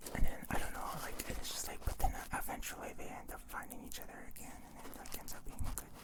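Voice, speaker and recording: Someone whispers at a very fast pace with hardly any pauses. Noticeable background noise sits behind the voice. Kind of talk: ASMR ramble. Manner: whispered; soft.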